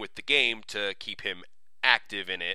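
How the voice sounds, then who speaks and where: In a bright, sharp tone, a man speaks at a fairly slow pace. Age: 30s. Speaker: podcast host. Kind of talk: solo announcement monologue. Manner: casual, many filler words.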